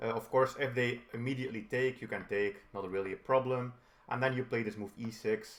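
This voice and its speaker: At a fairly quick pace, a man talks in an unremarkable speaking voice with medium pitch and fairly even intonation. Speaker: chess instructor. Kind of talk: tutorial.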